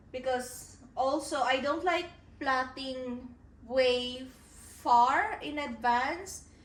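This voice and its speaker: A woman speaks at a very slow pace with a high pitch. There is ordinary pitch variation and audible room echo. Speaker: author vlogger. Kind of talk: casual vlog talk to camera.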